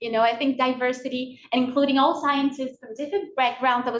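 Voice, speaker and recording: Very fast delivery with ordinary pitch variation. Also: woman. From Brazil. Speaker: PhD student presenter. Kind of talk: workshop lecture. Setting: video call.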